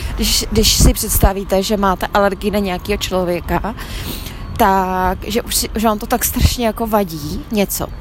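Noticeable background noise sits behind the voice. A woman speaks slowly-ish, at a fairly slow pace and medium pitch, in a monotone, flat way. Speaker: podcaster. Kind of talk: spiritual testimony. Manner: halting, hesitant.

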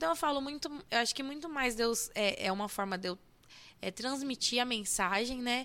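Animated and bright, sharp in tone, a woman with a fairly high pitch speaks on a very clean recording with a silent background. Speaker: church worship leader. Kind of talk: casual interview about faith and music. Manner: animated, laughing often.

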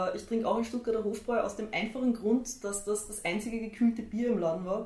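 Noticeable background noise sits behind the speech. A woman with a Viennese accent talks at a fairly quick pace. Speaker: tattoo artist and illustrator. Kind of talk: casual chat.

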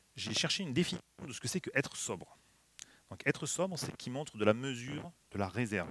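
The speaker talks at a very fast pace with very wide pitch swings and big swings in loudness. Long, frequent pauses break up the speech. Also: man, medium pitch for a man. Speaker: preacher. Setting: church. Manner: warm, light humor, earnest and exhortative when applying the text.

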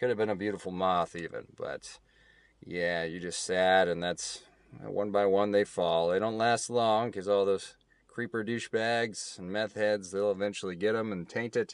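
In a plain, everyday voice, a man with an American accent speaks at a fairly low pitch with fairly even intonation. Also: moderate pace. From Kansas. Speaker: podcast host. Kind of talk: casual solo talk. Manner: casual.

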